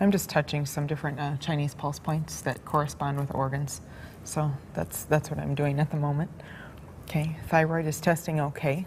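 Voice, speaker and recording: A woman talks at a moderate pace in a calm, somewhat breathy voice with a very deep, low pitch. Her intonation is flat and monotone. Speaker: alternative-therapy practitioner giving a demonstration session. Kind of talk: instructional demonstration to a subject. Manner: soft-spoken, calm.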